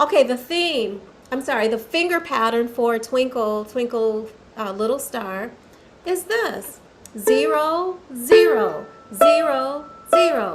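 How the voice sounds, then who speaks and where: Noticeable background noise sits behind a woman speaking at a very slow pace. Her high pitch makes very wide swings. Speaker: violin teacher. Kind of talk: tutorial.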